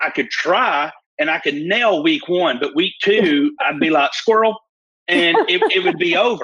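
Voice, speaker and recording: In a Southern US accent, a man speaks at a fairly slow pace with lively intonation. His loudness stays very even. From US South, northeast Alabama. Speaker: prophet.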